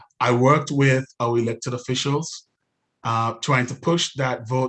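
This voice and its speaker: At a very slow pace, a man with a non-native accent speaks at medium pitch in a monotone, flat intonation. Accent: noticeable foreign. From outside the US. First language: not English. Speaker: city council candidate. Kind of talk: candidate forum speech. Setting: live-streamed webinar. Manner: hesitant, many fillers.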